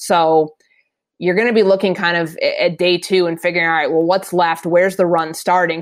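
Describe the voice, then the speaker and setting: A woman with a Minnesotan accent, fairly low in pitch and fairly even in intonation, at a fairly quick pace over a quiet background. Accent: Minnesota. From Minnesota, US Midwest. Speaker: NFL reporter. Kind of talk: casual chat.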